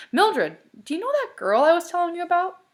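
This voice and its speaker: In a put-on character voice, a woman squeaks at an extremely high pitch, racing along very fast with very wide pitch swings. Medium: read story. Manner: urgent, questioning.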